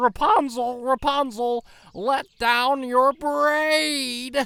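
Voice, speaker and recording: Using a put-on character voice, a man speaks at an extremely high pitch and a very slow pace. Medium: read story. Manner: stammering, flustered.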